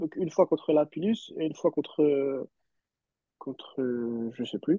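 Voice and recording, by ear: A man speaks slowly in a dark, mellow tone at a fairly high pitch with ordinary variation. The sound is dry and close, with no echo.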